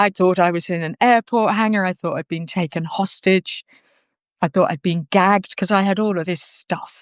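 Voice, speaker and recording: A woman with an ordinary speaking voice at medium pitch and a moderate pace, fairly even in intonation, with a dry, close sound, no echo and a quiet background. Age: 60s. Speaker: interviewee. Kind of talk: personal conversation.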